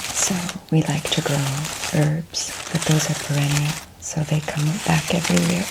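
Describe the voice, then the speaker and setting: Soft-spoken and very deep, low-pitched, a woman talks at a moderate pace with ordinary pitch variation and long, frequent pauses over noticeable background noise. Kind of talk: ASMR ramble to camera.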